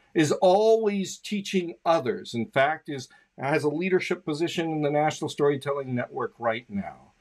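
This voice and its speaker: A man speaks at a moderate pace, his pitch swinging very widely. The background is quiet. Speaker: show host. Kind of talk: host introduction. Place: home room. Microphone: studio mic.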